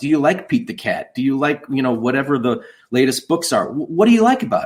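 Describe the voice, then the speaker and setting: His pitch swings very widely. This man speaks with a Chicago accent. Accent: northern US (Chicago area). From US Midwest, outside Chicago. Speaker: children's book author and songwriter. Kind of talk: interview conversation.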